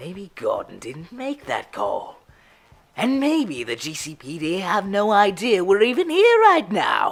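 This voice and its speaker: A put-on character voice sits at a fairly high pitch. The pace is fairly slow. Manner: mocking, theatrical.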